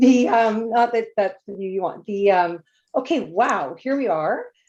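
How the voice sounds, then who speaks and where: The background is quiet. A woman talks in a medium-pitched voice. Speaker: consultant project manager. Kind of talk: presentation. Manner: fast.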